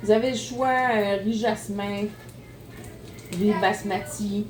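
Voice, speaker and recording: In a Quebec accent, a woman at medium pitch speaks with fairly even intonation amid noticeable background noise and audible room echo. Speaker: home cooking youtuber. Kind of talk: cooking tutorial. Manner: casual, chatty.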